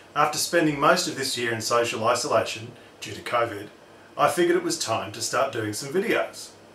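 A man talks at a fairly quick pace. Audible room echo and light background noise surround him. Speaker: tech channel host. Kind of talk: instructional DIY tutorial. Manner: scripted read.

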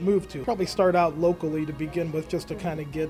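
Very fast, monotone, flat speech over clear background music. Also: man. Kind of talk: interview answer. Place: cafe.

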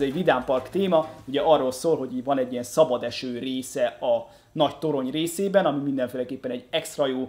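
Faint music plays in the background as a man speaks very fast with ordinary pitch variation. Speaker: LEGO news host. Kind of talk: casual vlog commentary. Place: home room.

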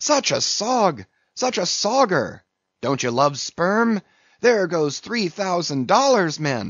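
Doing a put-on character voice, a man speaks slowly at a high pitch with big pitch swings, a fairly bright tone, a slightly husky edge and a dry, close sound with no echo.

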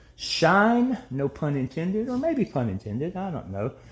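A man speaks here. The pace is moderate. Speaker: home tour host. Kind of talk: tour commentary. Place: kitchen. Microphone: phone near.

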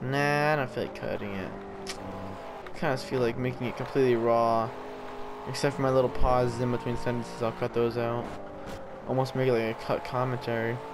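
Someone mumbles at a fairly quick pace. Noticeable background noise is present. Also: man. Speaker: gaming video commentator. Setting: racing video game commentary recording. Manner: fast talker, slightly mumbled speech.

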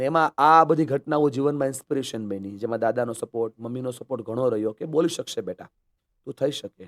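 A man at medium pitch uses an ordinary speaking voice with ordinary pitch variation, recorded in a dry, close sound with no echo. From Gujarat, Saurashtra (Amreli) then Surat. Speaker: motivational speaker. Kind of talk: interview.

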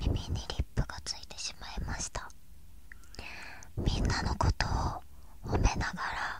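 A woman whispering at a very slow pace. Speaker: ASMR creator. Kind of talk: soft whispered ASMR talk. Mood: gentle, comforting, praising. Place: home room. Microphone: studio mic.

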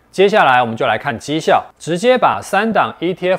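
A man at a moderate pace, with very wide pitch swings, against a quiet background. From Taiwan. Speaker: investment video host. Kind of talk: scripted explainer. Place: studio. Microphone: lapel.

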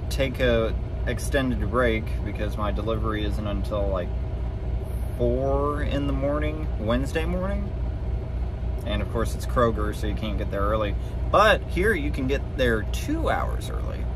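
Against noticeable background noise, a man speaks at a moderate pace with long, frequent pauses in a dry sound with no echo. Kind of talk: casual vlog chat. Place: car. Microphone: phone near.

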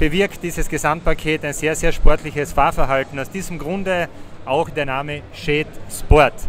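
Music plays in the background. A man speaks at a moderate pace with fairly even intonation. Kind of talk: interview answer. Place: hall. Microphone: handheld.

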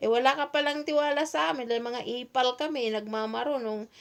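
In a very clean recording with a silent background, a woman with a fairly high pitch speaks at a moderate pace with ordinary pitch variation. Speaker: OFW advocate vlogger. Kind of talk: solo livestream talk.

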